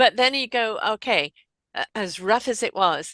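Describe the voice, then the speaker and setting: A woman with a British accent speaks in a bright, sharp tone with ordinary pitch variation, on a very clean recording with a silent background and a dry, close sound with no echo. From Britain. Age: 60s. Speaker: podcast host. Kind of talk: casual interview chat.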